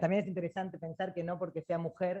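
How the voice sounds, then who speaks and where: Against a quiet background, a dark, mellow voice moves at a fairly quick pace. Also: woman. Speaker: judiciary council member. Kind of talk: panel talk. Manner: fast; halting.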